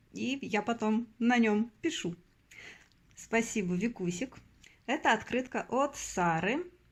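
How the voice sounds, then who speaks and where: Long, frequent pauses mark a woman's very slow speech, her fairly high pitch rising and falling in lively intonation. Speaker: postcard collector vlogger. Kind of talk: casual show-and-tell vlog.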